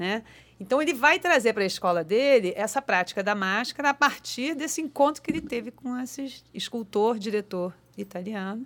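Recorded very cleanly against a silent background, a woman with an unremarkable speaking voice and fairly high pitch talks at a moderate pace with lively intonation. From Rio de Janeiro, Ilha do Governador. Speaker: actress and theatre teacher. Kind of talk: casual interview. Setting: studio.

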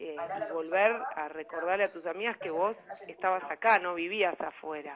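A woman's fairly low voice, fairly even in intonation, at a moderate pace. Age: 50s. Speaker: life coach. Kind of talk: radio interview.

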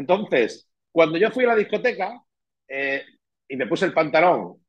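A man talks at a moderate pace with very wide pitch swings. His voice has vocal fry. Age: 50s. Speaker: real estate manager and writer. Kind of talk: interview.

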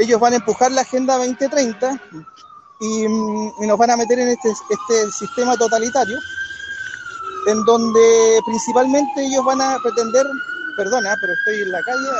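Delivery is at a moderate pace with ordinary pitch variation and long, frequent pauses. Noticeable background noise sits behind it. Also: man, extremely high pitch for a man. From Chile. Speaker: political commentator. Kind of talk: debate.

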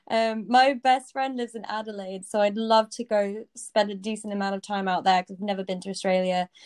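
A woman with a British accent speaks at a fairly quick pace with hardly any pauses, medium pitch, fairly even intonation and big swings in loudness, in a dry, close sound with no echo. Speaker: coding bootcamp student. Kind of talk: casual chat. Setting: video call.

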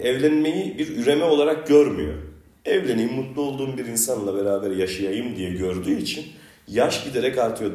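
A man at a moderate pace, pitch swinging very widely, with audible room echo. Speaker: podcast host. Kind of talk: casual chat.

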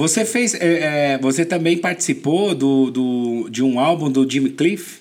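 Talking at a fairly slow pace with hardly any pauses, a man keeps a very even loudness in his fairly high voice. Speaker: podcast host. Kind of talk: casual interview. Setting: studio. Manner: animated.

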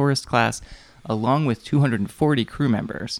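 A man with lively intonation and an unremarkable speaking voice. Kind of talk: casual chat. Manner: joking.

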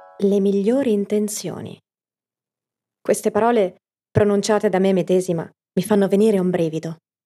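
Medium-pitched female voice with fairly even intonation, a moderate pace and long, frequent pauses, over music in the background. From Italy, Piacenza (Emilia). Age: 30s. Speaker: podcast narrator, storyteller and actress. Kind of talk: scripted narration.

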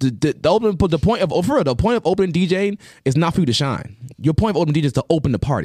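A man with a dark, mellow tone speaks very fast at a fairly high pitch with lively intonation. His loudness stays very even, and the sound is dry and close with no echo. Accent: New York. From Long Island, New York. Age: 30s. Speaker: DJ. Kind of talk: casual chat.

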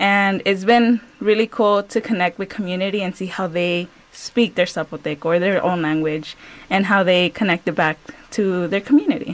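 The speaker has a normal speaking voice, a fairly slow pace and ordinary pitch variation. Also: woman, medium pitch for a woman. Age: 20s. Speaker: community organizer and former educator. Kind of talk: radio interview.

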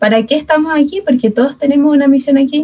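Speaking with a Chilean accent, a woman uses a dark, mellow tone and ordinary pitch variation. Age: 20s. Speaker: speech therapist and youth ministry member. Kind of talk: casual chat.

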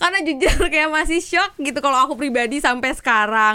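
A woman projects a raised, high-pitched voice with a bright, sharp tone. She keeps a moderate pace on a very clean recording with a silent background. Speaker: podcast host. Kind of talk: casual chat. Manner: animated.

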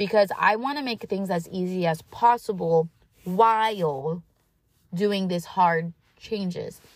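Ordinary pitch variation at a very slow pace. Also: woman, medium pitch for a woman. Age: 20s. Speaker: podcast host. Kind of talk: solo monologue, self-help talk. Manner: casual with many fillers.

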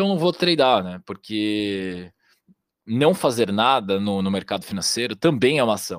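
A man's unremarkable speaking voice, fairly low in pitch, with lively intonation and a moderate pace. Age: 20s. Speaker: trader. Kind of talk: casual chat.

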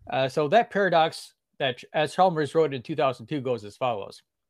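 This man's pitch sits fairly high. He talks at a fairly quick pace. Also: very clean recording, silent background. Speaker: guest, blogger and apologetics writer. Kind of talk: interview explaining philosophical argument. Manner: fast talker.

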